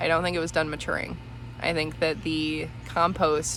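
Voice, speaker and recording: With audible room echo and noticeable background noise, a woman speaks at a fairly slow pace. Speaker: home gardener / homesteading vlogger. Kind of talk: casual garden tour vlog. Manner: casual with many fillers (um, like).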